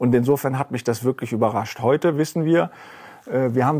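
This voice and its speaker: The man's tone is dark and mellow. His intonation stays fairly even. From Rhineland, Germany. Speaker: investment fund executive. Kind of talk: interview. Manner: halting.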